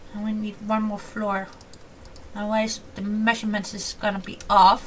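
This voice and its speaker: A woman talks at a moderate pace in a fairly high voice with big swings in loudness. Audible room echo surrounds her. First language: not English (English is her fourth language). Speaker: gaming YouTuber. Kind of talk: casual gameplay commentary. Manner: chatty, animated.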